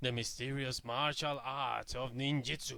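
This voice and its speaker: At a moderate pace, a man uses a put-on character voice of medium pitch. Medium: read story. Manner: measured, solemn.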